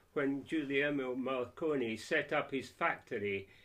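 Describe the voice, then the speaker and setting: A man talks with a Scottish accent. His pitch is fairly high and his pace fairly slow. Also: quiet background. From Scotland, Scottish Borders (Peeblesshire). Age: 70s. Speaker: civic society chairman. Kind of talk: interview.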